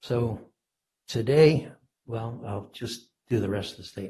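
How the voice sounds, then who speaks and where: Somewhat breathy, a man's fairly low voice carries a dark, mellow tone. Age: 80s+. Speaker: property owner appealing tax assessment. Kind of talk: testimony at public hearing. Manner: halting, with many fillers.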